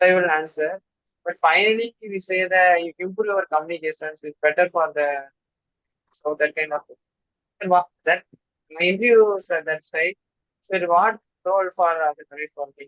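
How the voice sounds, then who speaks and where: A man with a South Indian accent talks at a high pitch and a moderate pace. He takes long, frequent pauses, and his loudness swings widely. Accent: South Indian accent, slightly regional. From Tamil Nadu, India (Tirunelveli district). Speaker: student job candidate. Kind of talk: sharing interview experience. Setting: video call. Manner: halting.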